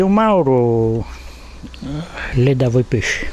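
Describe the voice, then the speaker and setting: A man talks in a somewhat breathy voice with lively intonation. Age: 80s+. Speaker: fisherman. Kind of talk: interview answer.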